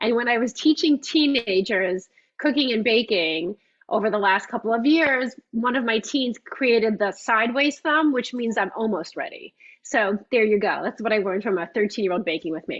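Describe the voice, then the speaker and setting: With a New York accent, a woman speaks at a fairly high pitch with lively intonation. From US Northeast, Long Island, New York. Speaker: cookbook author and baking instructor. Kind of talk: live cooking class. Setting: video call. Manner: fast.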